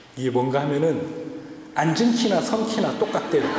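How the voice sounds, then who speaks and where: Noticeable background noise and audible room echo surround this recording. A man talks at a fairly high pitch and a moderate pace. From South Korea, Ulsan (Gyeongsang).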